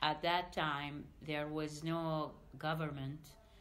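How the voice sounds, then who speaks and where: A woman speaks at a very slow pace with a very deep, low pitch. Audible room echo surrounds her voice. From Iraq, Baghdad. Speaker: refugee, diplomacy adviser. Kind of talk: interview testimony. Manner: hesitant with fillers.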